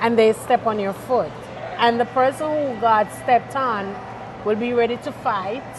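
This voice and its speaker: A woman with a fairly high pitch talks amid audible room echo and noticeable background noise. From Jamaica. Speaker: singer and chaplain, expat guest. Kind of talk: interview.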